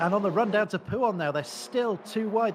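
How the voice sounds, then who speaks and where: Noticeable background noise sits behind a man speaking at a high pitch with ordinary pitch variation. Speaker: esports race co-commentator. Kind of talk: live commentary. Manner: fast; animated.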